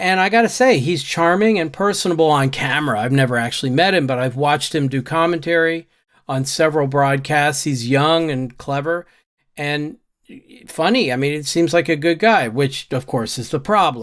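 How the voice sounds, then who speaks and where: On a very clean recording with a silent background, a man with a fairly high pitch and ordinary pitch variation speaks in an ordinary speaking voice. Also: moderate pace. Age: 60s. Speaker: YouTuber and software trainer. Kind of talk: casual commentary reading own newsletter. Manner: conversational.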